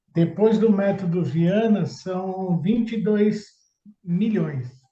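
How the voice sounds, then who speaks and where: A man with a high pitch and a dark, mellow tone speaks very slowly, with ordinary pitch variation. There is audible room echo. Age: 60s. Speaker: public tender consultant. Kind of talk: interview testimony.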